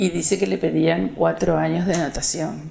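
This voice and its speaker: Speaking at a fairly slow pace, a woman uses a fairly low pitch with vocal fry. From Uruguay, Pando. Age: 70s. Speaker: retired schoolteacher. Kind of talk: interview about life story. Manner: hesitant, many fillers.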